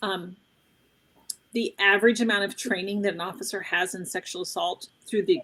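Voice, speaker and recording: Speaking at a medium pitch that varies in an ordinary way, a woman keeps a moderate pace. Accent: American. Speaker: trauma survivor and advocate, trainer. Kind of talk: interview conversation.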